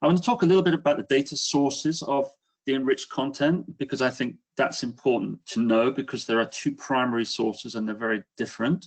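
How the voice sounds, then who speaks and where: This man's delivery is very fast, pitched in the medium range, and his pitch varies in an ordinary way. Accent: British. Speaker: business executive. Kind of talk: webinar presentation. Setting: online webinar.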